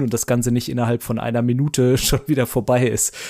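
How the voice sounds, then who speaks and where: A man talks at a moderate pace in a medium pitch, his tone dark and mellow. His intonation is monotone and flat. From Baden, southwest Germany. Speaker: marketing manager. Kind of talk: casual chat.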